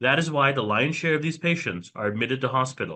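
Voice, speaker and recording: A loud, bright and sharp voice. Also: man. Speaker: emergency physician. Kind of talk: lecture. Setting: video call.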